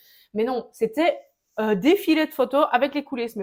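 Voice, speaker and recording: A woman with a strong Liège accent speaks at a high pitch in an animated tone, with ordinary pitch variation. The recording is very clean, with a silent background. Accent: thick Liège. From Belgium, Liège. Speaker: entrepreneur, riding-wear brand founder. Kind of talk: interview. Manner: talkative.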